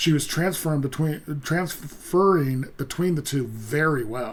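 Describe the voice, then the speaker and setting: The man mumbles at a moderate pace with ordinary pitch variation. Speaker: music reaction youtuber. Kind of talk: casual commentary. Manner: halting, many fillers; mumbling.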